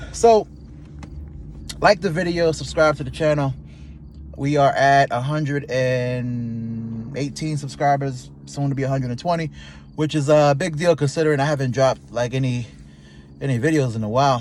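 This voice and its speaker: A man speaks at a fairly high pitch in an animated, somewhat breathy tone with ordinary pitch variation. His pace is moderate, with long, frequent pauses. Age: 30s. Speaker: YouTuber. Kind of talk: casual vlog monologue. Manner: casual, animated.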